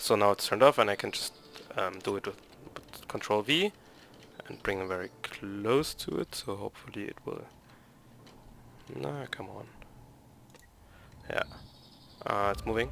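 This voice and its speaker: Man with a German accent at a fairly low pitch, moderate pace, long, frequent pauses and very wide pitch swings. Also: big swings in loudness. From Germany. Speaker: gaming YouTuber. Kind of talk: gameplay tutorial. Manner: halting.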